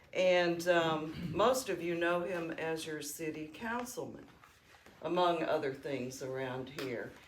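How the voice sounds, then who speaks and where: A woman with a Southern US accent, fairly low pitch and lively intonation at a very slow pace over noticeable background noise. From Alabama. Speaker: oral history interviewer. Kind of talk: interview questions and reminiscence.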